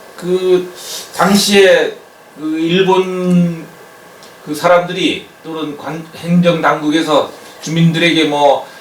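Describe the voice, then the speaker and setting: Amid noticeable background noise and audible room echo, a man speaks very slowly with a high pitch, monotone, flat intonation and long, frequent pauses. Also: big swings in loudness. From Jeju, Korea (Nansan-ri). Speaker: oral history interviewer. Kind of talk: interview. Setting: on location in a village.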